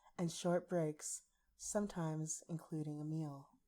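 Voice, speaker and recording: A dark, mellow voice speaks softly at a fairly slow pace. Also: woman. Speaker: ASMR artist. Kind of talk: ASMR story reading. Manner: soft-spoken.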